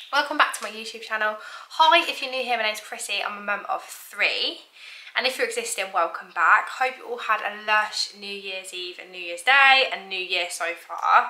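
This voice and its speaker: A woman talks at a moderate pace, her loudness swinging widely. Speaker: mum vlogger. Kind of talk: casual vlog chat. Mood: cheerful, chatty. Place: kitchen. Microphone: camera far.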